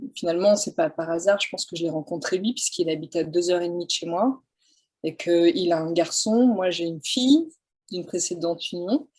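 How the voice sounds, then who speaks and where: A woman with a fairly low pitch talks at a fairly quick pace, with ordinary pitch variation. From France, countryside. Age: 40s. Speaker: photographer. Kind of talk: interview. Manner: hesitant, many fillers.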